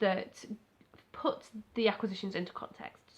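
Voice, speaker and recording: This woman talks at a fairly quick pace with an English accent. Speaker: crochet YouTuber. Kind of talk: casual vlog chat. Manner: fast.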